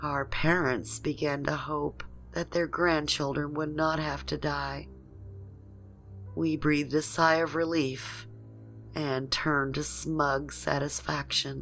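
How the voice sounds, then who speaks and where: The pace is very slow as a woman talks. Behind her, music is playing. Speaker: horror story narrator. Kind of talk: horror story narration.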